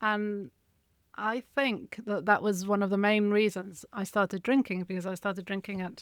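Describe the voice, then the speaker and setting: A woman speaks with an English accent at a moderate pace. Her pitch is medium and her intonation fairly even. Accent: very English. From Spain, English mother. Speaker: alcohol freedom coach and writer. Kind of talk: interview, personal story.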